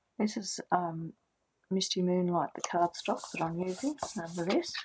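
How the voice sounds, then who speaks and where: A somewhat breathy woman with an Australian accent, medium pitch, ordinary pitch variation and moderate pace. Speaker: card-making crafter. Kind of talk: craft tutorial livestream. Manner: soft-spoken; casual, hesitant with fillers.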